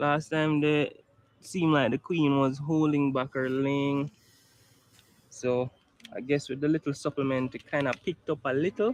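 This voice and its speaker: Long, frequent pauses break up a man's speech as he talks at a moderate pace in a Jamaican accent, his pitch fairly high and his intonation fairly even, in a dry, close sound with no echo. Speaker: beekeeper. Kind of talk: tutorial.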